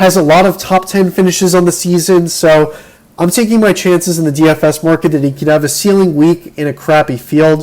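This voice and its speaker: Speaking at a fairly quick pace, this man has a high pitch. His intonation is fairly even. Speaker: fantasy golf podcast host. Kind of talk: solo podcast talk. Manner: casual, with filler words.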